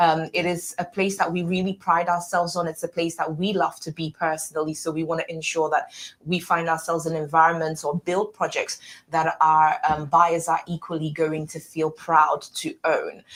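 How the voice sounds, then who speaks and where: In a British accent, a woman talks at a moderate pace with a fairly low pitch and a flat, monotone delivery. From UK. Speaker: property developer representative. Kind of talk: interview. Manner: fluent, persuasive.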